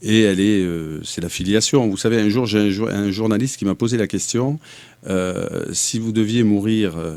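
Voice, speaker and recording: A man with a slight southern French accent talks at a fairly slow pace and fairly low pitch, with ordinary pitch variation. The recording is very clean, with a silent background. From southern France. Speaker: mayoral candidate. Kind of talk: interview.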